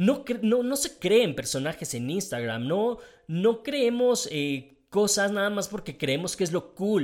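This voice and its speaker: An animated tone with a Mexican accent, very wide pitch swings, a fairly slow pace and hardly any pauses. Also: man, high pitch for a man. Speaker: podcast host. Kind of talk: casual monologue.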